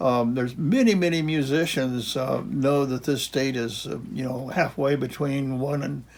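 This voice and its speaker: On a very clean recording with a silent background, a man with an American accent speaks at a moderate pace and a fairly high pitch, using ordinary pitch variation. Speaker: retired geography professor. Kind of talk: casual lecture. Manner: halting, many fillers and restarts.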